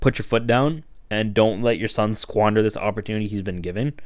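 An animated tone at a fairly quick pace comes through on a very clean recording with a silent background. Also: man. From Canada, Toronto (Scarborough). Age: 20s. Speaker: basketball podcast host. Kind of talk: casual solo podcast commentary. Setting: home recording. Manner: animated, casual.

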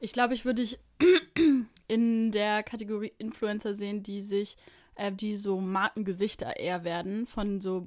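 A woman speaks at a moderate pace in a monotone, flat intonation, leaving long, frequent pauses. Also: medium pitch for a woman. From Braunschweig, Germany. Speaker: podcast co-host. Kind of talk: casual chat. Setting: in person, in a bedroom.

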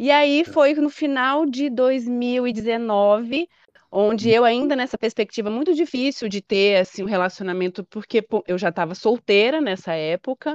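A woman's plain, everyday voice at a fairly high pitch, with lively intonation and a fairly slow pace, the sound dry and close with no echo over a quiet background. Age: 30s. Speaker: patient sharing her fertility treatment story. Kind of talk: interview testimony.

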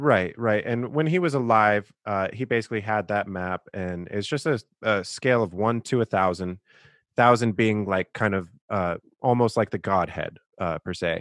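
A normal speaking voice, a man's at a fairly low pitch, with ordinary pitch variation, a moderate pace, and a dry, close sound with no echo. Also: quiet background. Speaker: podcast host. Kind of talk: casual interview, intro monologue.

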